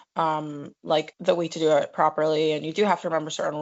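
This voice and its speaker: A woman's very deep, low voice with a strong New York accent, at a fairly quick pace. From New York City. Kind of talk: casual chat.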